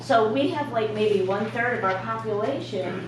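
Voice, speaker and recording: A woman at a very slow pace, with audible room echo and noticeable background noise. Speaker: community meeting attendee. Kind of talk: public meeting comment.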